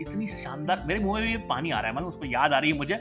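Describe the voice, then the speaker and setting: A man is speaking. Music plays in the background. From Indore, central India. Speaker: podcaster, storyteller. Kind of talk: humorous storytelling.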